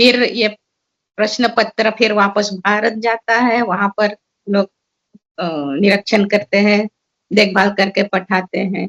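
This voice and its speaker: A woman of medium pitch speaks in a monotone, flat intonation with long, frequent pauses, recorded with a dry, close sound and no echo. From Suriname. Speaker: seminar speaker. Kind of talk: seminar talk. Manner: halting.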